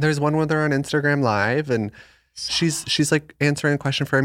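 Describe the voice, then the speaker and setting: With an ordinary speaking voice and an American accent, a man talks at a fairly quick pace on a very clean recording with a silent background. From Arizona. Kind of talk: casual chat. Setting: home studio.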